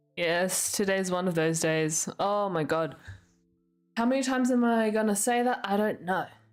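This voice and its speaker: With music in the background, a woman speaks at a moderate pace and medium pitch, her loudness very even and her intonation lively. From Australia, Sydney. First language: not English. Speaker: streamer. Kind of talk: casual chat. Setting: live stream.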